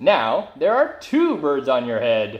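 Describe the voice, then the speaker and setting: A man performs a put-on character voice at a fairly slow pace. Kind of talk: children's picture-book read-aloud. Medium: read story. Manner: calm, cheerful.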